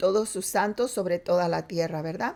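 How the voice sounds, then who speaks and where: A woman's dark, mellow-toned voice. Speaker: preacher. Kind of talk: sermon. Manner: halting.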